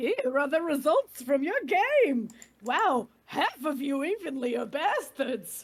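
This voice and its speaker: A high-pitched, put-on character voice at a fairly slow pace. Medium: game stream. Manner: showy, gleeful, mocking.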